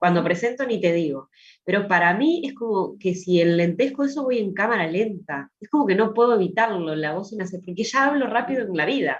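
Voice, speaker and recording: A woman at a fairly quick pace, with lively intonation. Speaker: student. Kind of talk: class discussion. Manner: fast.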